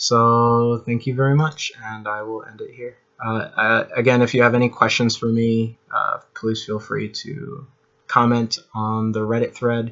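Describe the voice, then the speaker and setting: A man mumbles at a fairly slow pace in a bright, sharp tone, with monotone, flat intonation and big swings in loudness. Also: medium pitch for a man. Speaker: amateur tech video maker. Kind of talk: tutorial. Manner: halting, many fillers; mumbling.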